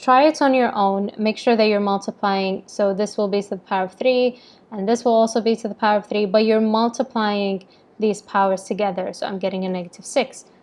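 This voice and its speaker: Speaking at a fairly quick pace, a woman with fairly high pitch keeps her intonation fairly even. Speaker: maths teacher. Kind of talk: tutorial. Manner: fast.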